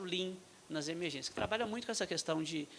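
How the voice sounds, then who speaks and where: Here a man talks at a high pitch. He has a Minas Gerais accent. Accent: mineiro accent, noticeable. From Brazil, Minas Gerais. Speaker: state health official, physician. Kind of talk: panel talk at medical forum. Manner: halting, many fillers.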